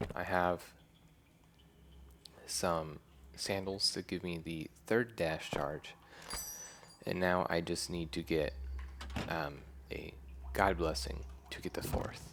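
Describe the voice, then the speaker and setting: A soft-spoken man talks very slowly in a very deep, low pitch with vocal fry and ordinary pitch variation. His tone is relaxed, with long, frequent pauses. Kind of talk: ASMR gameplay commentary. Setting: headset microphone. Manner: soft-spoken, relaxed.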